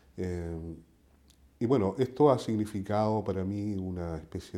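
A man talks at a fairly slow pace in a fairly low pitch with a dark, mellow tone. The recording is very clean, with a silent background. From southern Chile. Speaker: poet. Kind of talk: interview. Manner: halting.

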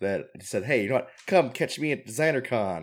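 Every word from this man comes very fast, with ordinary pitch variation. The background is silent, and the recording very clean. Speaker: podcast host. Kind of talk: casual chat.

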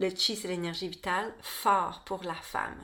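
A woman with a Quebec accent talks at a medium pitch. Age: 40s. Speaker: podcast host, birth and women's health educator. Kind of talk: solo podcast monologue. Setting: home studio.

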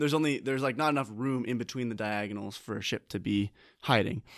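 Recorded very cleanly over a silent background, a man with a normal speaking voice talks at a medium pitch with fairly even intonation. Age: 20s. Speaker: board game podcast co-host. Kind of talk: casual chat. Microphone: new microphone.

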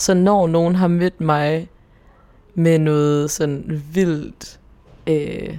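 This woman has a fairly low voice with a dark, mellow tone. Her intonation stays monotone and flat. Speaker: podcast co-host. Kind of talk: casual chat.

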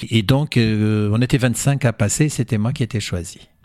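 A man talks fairly slowly, his voice pitched fairly low. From Portugal and Angola. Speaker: cabaret performer. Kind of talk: radio interview. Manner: halting.

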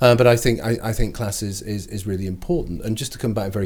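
A man's pitch varies in an ordinary way as he races along at a very fast pace. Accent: northern English. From northern England. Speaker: cultural history lecturer. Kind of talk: interview. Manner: halting, frequent repetitions.

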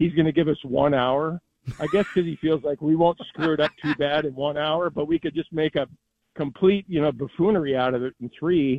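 This man has an ordinary speaking voice, pitched fairly high, and talks at a fairly quick pace with fairly even intonation. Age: 60s. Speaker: sports radio host. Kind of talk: casual chat.

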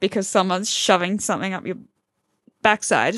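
This woman has an Australian accent and a bright, sharp tone. The sound is dry and close with no echo, over a quiet background. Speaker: podcast co-host. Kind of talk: casual chat.

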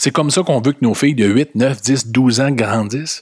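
On a very clean recording with a silent background, a man with a medium pitch speaks in an animated tone with ordinary pitch variation. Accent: Quebec. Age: 40s. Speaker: podcast host. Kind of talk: opinion monologue.

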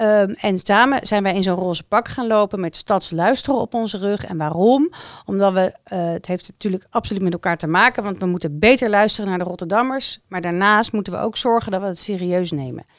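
A woman with a plain, everyday voice at medium pitch speaks with ordinary pitch variation and hardly any pauses, in a very clean recording with a silent background and a dry, close sound with no echo. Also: fairly quick pace. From The Hague, Netherlands. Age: 40s. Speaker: municipal civil servant. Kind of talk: casual chat. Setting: studio.

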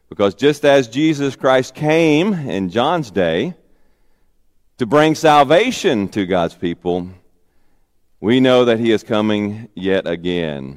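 With a Southern US accent, a man speaks very slowly at a medium pitch, his voice swinging very widely in pitch between long, frequent pauses. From Arkansas. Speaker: pastor. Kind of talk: sermon.

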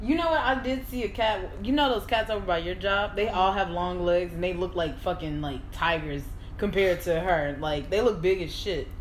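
A voice with lively intonation and a fairly quick pace comes through over noticeable background noise. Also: woman, medium pitch for a woman. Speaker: podcast co-host. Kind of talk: casual chat. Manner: calm, reasoned.

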